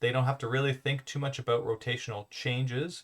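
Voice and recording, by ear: At a fairly quick pace, a man talks at medium pitch with little pitch movement.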